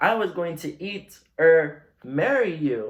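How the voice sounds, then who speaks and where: A man's put-on character voice, high in pitch and very slow in pace. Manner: hissing, furious.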